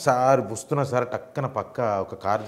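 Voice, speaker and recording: A man speaks with a Hyderabadi accent. His medium-pitched voice shows ordinary pitch variation. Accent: Hyderabadi Telangana Telugu with Urdu words. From Hyderabad, Telangana, India. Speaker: film comedian. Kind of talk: casual interview chat. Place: studio.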